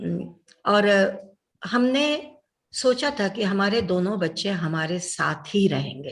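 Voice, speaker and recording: A somewhat breathy woman's voice at medium pitch with lively intonation. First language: Telugu (speaking Hindi). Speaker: doctor and social worker. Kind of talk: interview.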